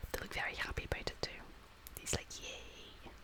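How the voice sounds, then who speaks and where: The speaker whispers at a fairly slow pace. Noticeable background noise can be heard. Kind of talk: ASMR whispered reading. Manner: whispered.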